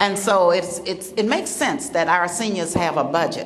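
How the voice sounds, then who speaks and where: Against noticeable background noise and audible room echo, a woman with a Southern US accent speaks at a medium pitch. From US South, South Carolina. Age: 70s. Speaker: state official for seniors. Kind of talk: public speech. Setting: luncheon event with audience. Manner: animated.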